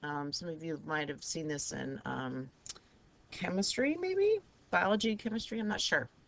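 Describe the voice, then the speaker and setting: A woman keeps a moderate pace as noticeable noise plays in the background. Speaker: math teacher. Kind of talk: lecture. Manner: casual, with fillers.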